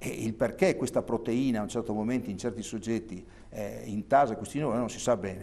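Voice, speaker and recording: A man talks at a very fast pace in a dark, mellow tone. His pitch variation is ordinary. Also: medium pitch for a man. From Trentino, northern Italy. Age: 60s. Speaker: neurologist; guest. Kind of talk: TV interview. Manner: hesitant. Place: studio. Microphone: lapel.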